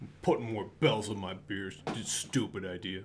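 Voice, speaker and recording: A booming, put-on character voice from a man, fairly low in pitch, at a moderate pace against clear background noise. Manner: dismissive.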